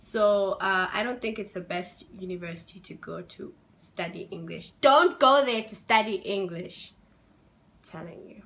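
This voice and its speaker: A woman at medium pitch speaks at a moderate pace in an animated tone with ordinary pitch variation. Her loudness swings widely. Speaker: international student vlogger. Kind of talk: casual vlog.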